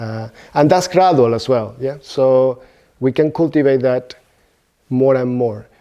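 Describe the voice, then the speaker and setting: With a Spanish accent, a man talks at a fairly slow pace with long, frequent pauses. His medium-pitched voice has a dark, mellow tone and ordinary pitch variation. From Venezuela. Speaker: Buddhist teacher. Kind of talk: dharma talk. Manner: halting.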